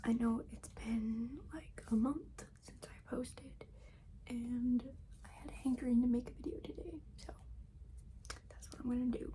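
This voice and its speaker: A soft-spoken woman talks at a fairly slow pace with long, frequent pauses. Noticeable background noise runs behind her. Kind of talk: ASMR makeup bag tour, casual talk to camera.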